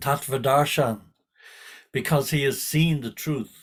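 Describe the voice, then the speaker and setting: A man talks in a somewhat breathy voice at a fairly high pitch. His intonation stays fairly even. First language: not English. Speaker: spiritual teacher. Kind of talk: scripture class. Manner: repetitive, halting.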